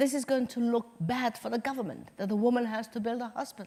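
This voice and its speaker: A woman speaks in a high voice. Her pace is fairly quick. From Somaliland. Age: 70s. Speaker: nurse, hospital founder, former foreign minister. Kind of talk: interview answer.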